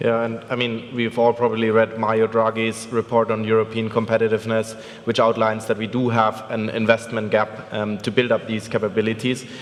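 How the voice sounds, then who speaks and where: With a German accent, a man speaks at a fairly quick pace with hardly any pauses. His medium-pitched voice is monotone and flat, and there is noticeable background noise. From Germany. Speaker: venture capital investor. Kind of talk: conference panel discussion.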